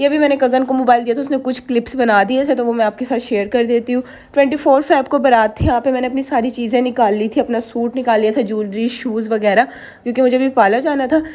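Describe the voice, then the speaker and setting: A woman speaks at a fairly quick pace in a high voice with a dark, mellow tone and fairly even intonation. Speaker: vlogger. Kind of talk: vlog voiceover narration. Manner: casual, chatty.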